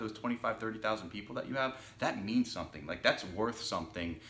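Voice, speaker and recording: Here is a man with an unremarkable speaking voice. His pitch is fairly low, with ordinary pitch variation. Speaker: filmmaker and podcast host. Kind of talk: podcast interview questions.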